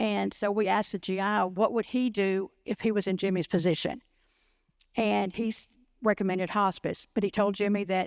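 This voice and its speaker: A woman with a Texan accent at a medium pitch, moderate pace, monotone, flat intonation and very even loudness, in a dry, close, echo-free recording that is very clean with a silent background. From Waco, Texas. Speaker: liver cancer patient advocate. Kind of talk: personal story talk.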